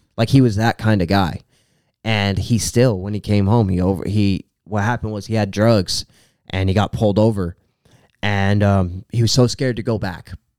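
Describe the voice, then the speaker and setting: A man with an ordinary speaking voice talks at a moderate pace and fairly low pitch. His intonation is fairly even, on a very clean recording with a silent background. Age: 20s. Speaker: rapper. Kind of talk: casual chat.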